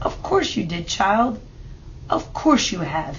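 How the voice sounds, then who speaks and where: A woman uses a put-on character voice with a medium pitch and very wide pitch swings. She goes at a fairly slow pace over clear background noise. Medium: read story.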